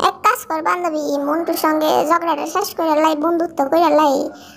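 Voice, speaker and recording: Amid clear background noise, a female-sounding cartoonish character voice at an extremely high pitch moves at a moderate pace. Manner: chatty, dialectal.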